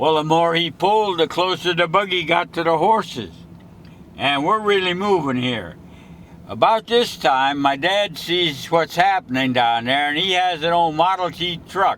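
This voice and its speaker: A man talks with a Midwestern American accent at a moderate pace. His pitch is high, with ordinary pitch variation. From western Ohio. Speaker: retired farmer. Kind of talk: oral history storytelling.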